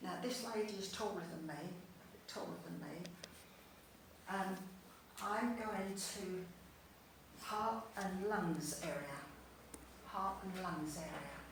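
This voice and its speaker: Heard with noticeable background noise and audible room echo, a voice with a London accent moves at a very slow pace, with long, frequent pauses and ordinary pitch variation. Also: woman, medium pitch for a woman. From East London. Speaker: spiritualist medium. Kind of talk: mediumship demonstration. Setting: spiritualist church service.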